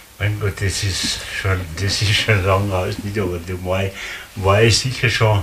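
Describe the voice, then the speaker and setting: A man speaks at a fairly slow pace in a fairly low pitch, his intonation fairly even, over noticeable background noise. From Austria. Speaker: contemporary witness. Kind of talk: interview. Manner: halting. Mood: relaxed, reminiscing. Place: home room. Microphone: camera far.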